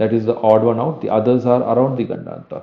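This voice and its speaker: This man talks at a fairly quick clip with monotone, flat intonation. His pitch sits in the medium range. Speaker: astrology teacher. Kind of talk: lecture. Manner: halting.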